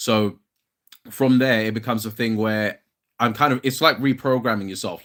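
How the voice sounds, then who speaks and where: The voice carries a British accent with ordinary pitch variation at a moderate pace. The recording is very clean, with a silent background. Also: man. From London, England. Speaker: fitness content creator. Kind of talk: casual livestream chat. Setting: solo livestream. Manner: casual, hesitant with fillers.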